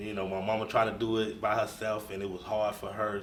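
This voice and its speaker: A man's fairly quick, monotone, flat delivery, with audible room echo and noticeable background noise. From US South, north Florida. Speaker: bishop. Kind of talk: interview.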